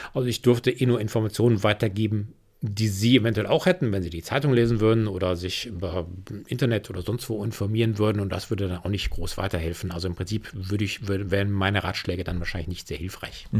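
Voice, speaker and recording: Somewhat breathy, a man with a fairly low pitch rushes along at a very fast pace with ordinary pitch variation. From Rhineland, Germany. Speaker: commodities analyst. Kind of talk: interview.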